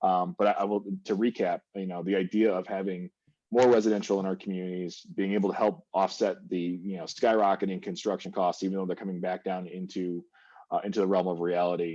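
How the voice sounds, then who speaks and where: A man's very deep, low, dark and mellow voice, flat and monotone at a fairly quick pace, against a quiet background. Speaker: panelist on downtown revitalization. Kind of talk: panel discussion. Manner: fast.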